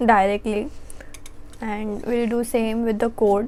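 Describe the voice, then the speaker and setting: A woman's fairly high voice, monotone and flat in intonation, at a fairly slow pace. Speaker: college student. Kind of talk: casual vlog talk to camera.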